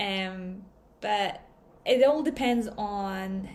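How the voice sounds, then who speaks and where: A woman with a non-native accent talks at a very slow pace and medium pitch. Audible room echo surrounds her voice. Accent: foreign accent, noticeable. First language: not English. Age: 20s. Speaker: digital marketer, vlogger. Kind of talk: casual vlog talk.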